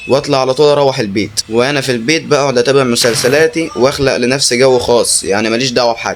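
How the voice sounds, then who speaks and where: With an Egyptian accent, a man talks at a fairly quick pace in a medium pitch with ordinary pitch variation, over noticeable background noise. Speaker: horror story narrator. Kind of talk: horror story narration.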